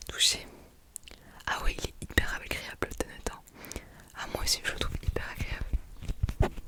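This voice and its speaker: Amid noticeable background noise, a woman whispers at a fairly slow pace, with long, frequent pauses. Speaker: ASMR creator doing a shop-assistant roleplay. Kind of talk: ASMR roleplay, casual talk to the listener. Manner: soft, friendly, chatty.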